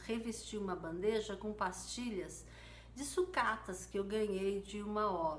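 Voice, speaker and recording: A bright, sharp voice speaks very slowly amid audible room echo. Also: woman. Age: 60s. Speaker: mosaic artist. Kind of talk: live stream tutorial. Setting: live stream.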